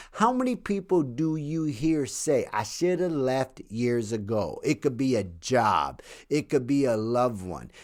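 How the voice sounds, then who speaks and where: Man in a normal speaking voice at medium pitch, fairly slow yet with hardly any pauses, lively intonation, very clean recording and silent background. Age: 60s. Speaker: author and podcast host. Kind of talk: solo podcast monologue. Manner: casual, profanity-laced delivery.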